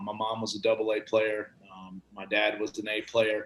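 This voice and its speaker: A man with a Georgia accent talks at a medium pitch. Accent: Georgia Southern US. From Atlanta, Georgia. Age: 40s. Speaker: tennis coach. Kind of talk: podcast interview. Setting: studio. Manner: casual.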